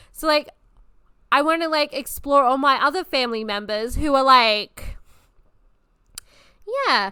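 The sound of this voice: Bright and sharp yet clear and smooth, a woman's high-pitched voice moves at a moderate pace with lively intonation.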